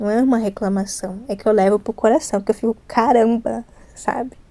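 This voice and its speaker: Soft-spoken and fairly high-pitched, a woman has a dark, mellow tone. She talks at a fairly quick pace. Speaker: ASMR youtuber. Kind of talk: casual chat. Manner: not whispering today, slightly louder.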